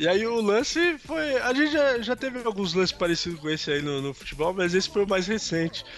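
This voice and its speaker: Against noticeable background noise, a man talks at a fairly quick pace with hardly any pauses, his high pitch making very wide swings. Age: 30s. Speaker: sports podcast co-host. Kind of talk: casual chat.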